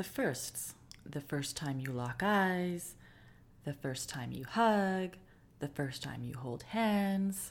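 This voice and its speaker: Her pitch is very deep and low, and it swings very widely. The woman speaks at a very slow pace. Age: 30s. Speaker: podcast host. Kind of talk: personal storytelling monologue.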